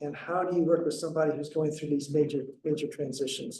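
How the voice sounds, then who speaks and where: A man's fairly high, somewhat breathy voice with a dark, mellow tone, monotone, flat intonation and a fairly quick pace, with audible room echo. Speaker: herbalist and flower essence practitioner. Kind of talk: lecture. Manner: soft-spoken; halting, many repetitions and fillers.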